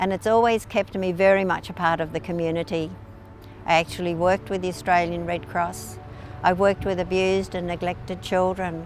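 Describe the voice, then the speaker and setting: Music plays behind a woman speaking at a fairly quick pace. Her fairly low voice keeps a fairly even intonation. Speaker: community volunteer. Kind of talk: personal reminiscence interview.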